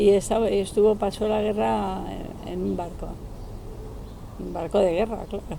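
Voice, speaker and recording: A woman speaks with long, frequent pauses and big swings in loudness. Noticeable background noise runs underneath. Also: moderate pace. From Basque Country (San Sebastián), from age eight; born in Málaga, family from Ceuta. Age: 70s. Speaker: interviewee recalling the postwar era. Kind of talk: casual interview. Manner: hesitant, with fillers.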